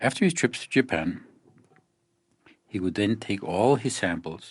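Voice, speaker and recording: Soft-spoken and fairly low in pitch, a man talks at a fairly slow pace against a quiet background. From Mexico. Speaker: photographer. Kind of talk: scripted narration.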